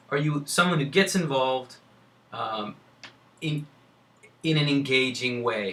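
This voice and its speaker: In an American accent, a man speaks at a fairly high pitch. His pace is fairly slow. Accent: people think they sound like a New Yorker. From California. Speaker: admissions consultant. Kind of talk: lecture. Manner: animated.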